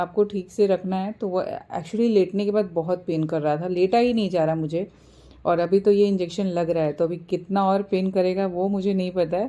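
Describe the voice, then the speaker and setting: A woman speaks at a moderate pace with a medium pitch, a dark, mellow tone and fairly even intonation. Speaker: vlogger, housewife. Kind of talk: casual vlog talk. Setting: hospital.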